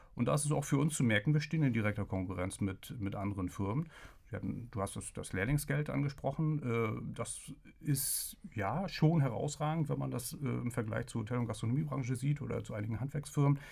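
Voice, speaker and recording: A man at a moderate pace and medium pitch, with vocal fry and lively intonation. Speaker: agency press spokesman. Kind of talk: interview.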